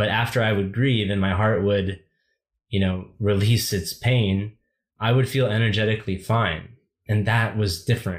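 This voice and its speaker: A man's fairly low, somewhat breathy voice with an American accent, moderate pace, fairly even intonation, very even loudness, and a very clean recording with a silent background. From United States. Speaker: writer. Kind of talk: casual chat. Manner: halting.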